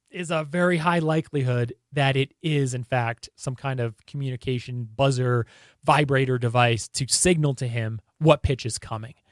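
A man with an American accent speaks at a fairly high pitch, recorded very cleanly against a silent background with a dry, close sound and no echo. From northern New Jersey. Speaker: sports video creator. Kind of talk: casual commentary video.

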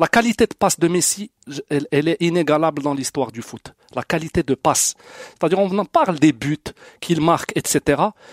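A man with a plain, everyday voice talks at a fairly quick pace and fairly high pitch, with ordinary pitch variation. The sound is dry and close, with no echo. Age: 40s. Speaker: football fan. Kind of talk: casual debate.

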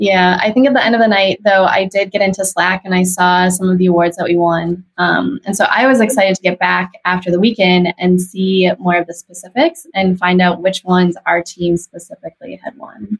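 In a dry, close sound with no echo, a woman talks fairly quickly at a medium pitch with hardly any pauses, her voice somewhat breathy and her intonation fairly even. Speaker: creative team member. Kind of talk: interview chat.

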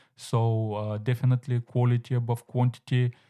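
Over a silent background in a very clean recording, the voice has a dark, mellow tone and a monotone, flat intonation at a moderate pace. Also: man, dry, close sound with no echo. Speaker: podcast host. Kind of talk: solo monologue, advice. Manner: frequent filler words, hesitant.

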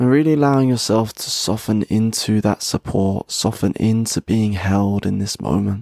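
A man speaks in a soothing, gentle, dark, mellow tone with ordinary pitch variation. The sound is dry and close, with no echo. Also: fairly low pitch for a man. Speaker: podcast host and meditation guide. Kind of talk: guided meditation, slow breath-paced relaxation instructions. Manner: slow, soothing and unhurried, pausing with each breath; gentle, warm and softly encouraging, audibly sighing out.

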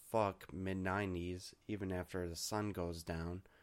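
At a fairly slow pace, a man speaks with very deep, low pitch. His intonation is monotone and flat. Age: 20s. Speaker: podcast host. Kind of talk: casual monologue.

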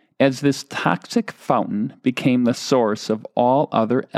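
Reading in an unforced voice

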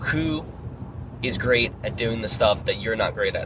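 A man with an American accent talks at a moderate pace. Noticeable background noise is present. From New York. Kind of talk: casual chat. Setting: in a car.

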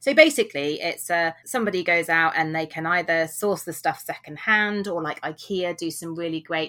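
A woman with a British accent speaks at a fairly low pitch in a bright, sharp tone. Her pace is fairly quick, with hardly any pauses. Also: ordinary pitch variation. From UK. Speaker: author and blogger, former vet. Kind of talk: interview.

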